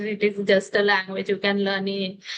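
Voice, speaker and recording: Speaking in an Indian accent, a woman uses a fairly high pitch. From India, Delhi. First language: Hindi. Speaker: English learner, homemaker. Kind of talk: interview conversation. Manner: halting, many hesitations.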